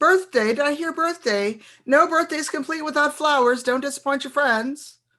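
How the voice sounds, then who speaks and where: A put-on character voice from a woman, high-pitched and sing-song. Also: moderate pace. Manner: coaxing, persuasive.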